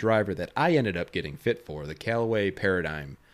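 A man talks at a fairly quick pace with lively intonation and medium pitch. The recording is very clean, with a silent background. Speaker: golf podcast host. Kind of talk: solo angry rant about pro golf, heated monologue. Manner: rambling, emphatic, exasperated.

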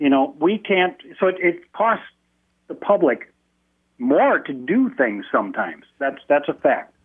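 The speaker talks at a fairly slow pace in an American accent, with long, frequent pauses. Pitch swings very widely. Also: man, high pitch for a man. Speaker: public school employee. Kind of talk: call-in radio comment. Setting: phone call.

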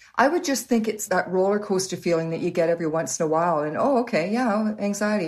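With a Canadian accent, a woman talks at a very fast pace and medium pitch, leaving hardly any pauses. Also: ordinary pitch variation. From Canada, Waterloo Ontario. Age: 60s. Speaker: host's mother. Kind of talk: interview. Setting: video call.

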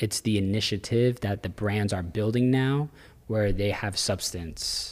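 With an American accent, a man uses an unremarkable speaking voice, talking at a fairly slow pace with a fairly low pitch and ordinary pitch variation in a very clean recording with a silent background. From Central Florida. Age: 30s. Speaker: clothing brand owner. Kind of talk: casual chat.

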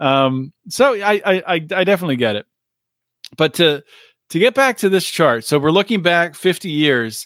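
The speaker has an American accent and very wide pitch swings. The sound is dry and close, with no echo. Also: man, high pitch for a man, moderate pace, very clean recording, silent background. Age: 40s. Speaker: political podcast host. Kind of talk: solo commentary. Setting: studio recording. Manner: casual, filler-heavy.

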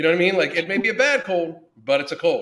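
A man speaks in a raised, projected voice at a fairly quick pace. His tone is bright and sharp. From US, Pittsburgh (western Pennsylvania). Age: 50s. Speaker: podcast host, fitness coach. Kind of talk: casual interview conversation. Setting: online call.

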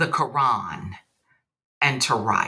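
A woman speaks with a Southern US accent. Her tone is bright and sharp. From US South. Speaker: poet and English professor. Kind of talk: casual interview chat.

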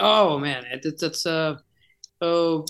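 A man's fairly high voice with a Spanish accent, fairly even intonation, and a quiet background. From Chile. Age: 40s. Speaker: rock singer. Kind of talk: interview. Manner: halting.

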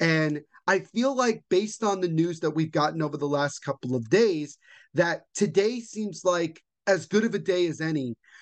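A man with a plain, everyday voice and an American accent, moderate pace, ordinary pitch variation and a quiet background. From central New Jersey. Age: 20s. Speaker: sports podcast host. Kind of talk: casual sports commentary monologue.

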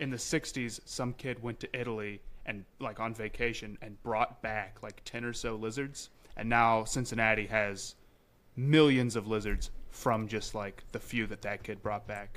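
Here is an ordinary speaking voice: a man of medium pitch talking at a moderate pace with fairly even intonation. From South Carolina, near Columbia. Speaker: podcaster and social media creator. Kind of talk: casual chat.

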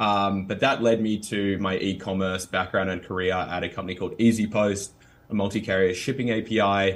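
Recorded very cleanly against a silent background, a man with an Australian accent delivers fairly quick, monotone speech with flat intonation at a fairly low pitch. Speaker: startup CEO. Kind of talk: interview conversation.

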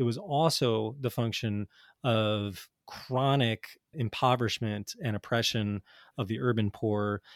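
A man's unremarkable speaking voice at medium pitch, with an American accent, ordinary pitch variation and a fairly slow pace, on a very clean recording with a silent background and a dry, close sound with no echo. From US Northeast, North Jersey. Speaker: addiction psychiatrist and author. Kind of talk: interview.

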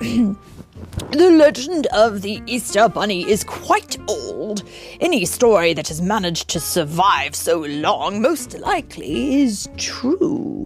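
A woman speaks at a fairly slow pace in a put-on character voice of medium pitch, with clear music playing behind her. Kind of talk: bedtime story reading with character voices. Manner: formal, lofty, knowing.

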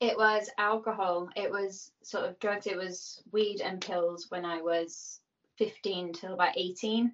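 With a Birmingham accent, a woman speaks at a medium pitch. Her pace is very slow. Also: fairly even intonation. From Birmingham, England. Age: 30s. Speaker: person in addiction recovery. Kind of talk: casual interview. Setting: video call.

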